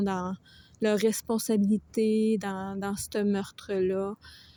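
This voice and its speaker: A woman with a Quebec accent, medium-pitched with a dark, mellow tone, very slow, on a very clean recording with a silent background. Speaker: book reviewer. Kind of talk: book review vlog. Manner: casual, with frequent hesitations.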